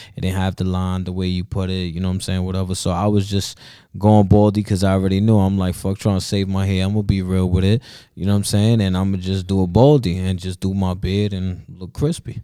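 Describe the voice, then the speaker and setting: On a very clean recording with a silent background, a man speaks at a very fast pace in a very deep, low pitch with a dark, mellow tone and monotone, flat intonation. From South Bronx, New York City. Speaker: rapper. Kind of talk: casual chat.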